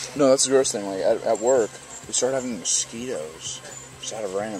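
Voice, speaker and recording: The speech comes very fast with ordinary pitch variation. The sound is dry with no echo, and faint music plays in the background. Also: man. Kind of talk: casual vlog chat. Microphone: phone near.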